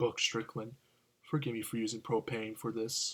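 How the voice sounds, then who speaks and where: A man's put-on character voice at medium pitch. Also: moderate pace. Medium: read story.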